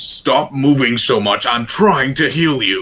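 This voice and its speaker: Using a put-on character voice, a man talks at a fairly slow pace with a fairly high pitch. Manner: impatient.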